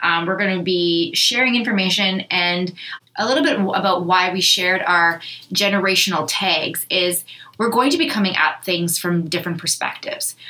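Against noticeable background noise, a woman speaks in a medium pitch with a Canadian accent. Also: ordinary pitch variation, moderate pace. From Canada, Thunder Bay, Ontario. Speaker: podcast host, business owner. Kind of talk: casual chat. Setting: studio.

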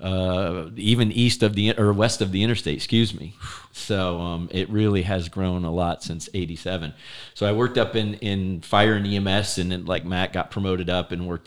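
At a fairly quick pace, a man speaks in an American accent. His pitch is very deep and low. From South Florida (Fort Lauderdale). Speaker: retired fire chief. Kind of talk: casual interview chat. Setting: office studio.

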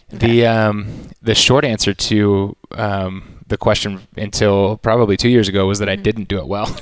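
With an American accent and a plain, everyday voice, a man speaks at a moderate pace, fairly low in pitch and fairly even in intonation. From Texas, Austin area. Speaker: sports event host. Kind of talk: casual interview. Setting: media headquarters studio. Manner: casual, with many fillers.

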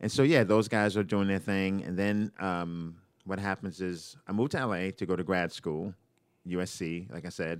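In an American accent, a man speaks with a very deep, low pitch. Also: ordinary pitch variation, moderate pace, very clean recording, silent background. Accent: New York accent, disputed by listener. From New York, Brooklyn. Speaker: stand-up comedian. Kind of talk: casual chat.

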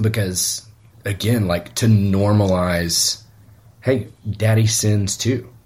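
A man speaks very slowly, leaving long, frequent pauses. His fairly low voice is somewhat breathy, with fairly even intonation. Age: 40s. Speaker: pastor. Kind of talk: casual chat.

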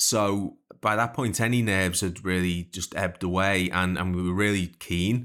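A man with a Liverpool accent, very deep and low in pitch, bright and sharp in tone, at a moderate pace, in a very clean recording with a silent background. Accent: Liverpool (Scouse). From Liverpool, England. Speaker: songwriter and podcast host. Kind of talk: casual interview chat.

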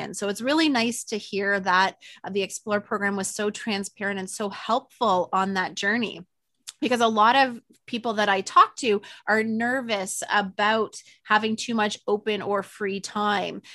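In a quiet background, a woman of medium pitch speaks at a moderate pace with a bright, sharp tone and fairly even intonation. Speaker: podcast host. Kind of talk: casual interview.

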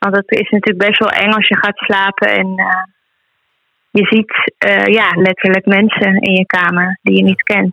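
Her loudness very even, a woman talks at a moderate pace in a medium pitch with monotone, flat intonation. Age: 20s. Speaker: healer and animal communicator. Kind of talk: casual interview.

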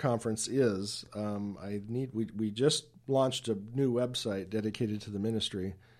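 A man speaks in an ordinary speaking voice at medium pitch and a moderate pace, with hardly any pauses. The recording is very clean, with a silent background. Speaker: author and speaker. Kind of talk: radio interview.

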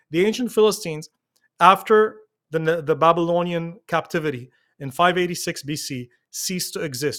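In a very clean recording with a silent background, a man with an Arabic accent talks at a fairly high pitch with ordinary pitch variation. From Lebanon. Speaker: pastor. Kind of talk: interview discussion, explanatory.

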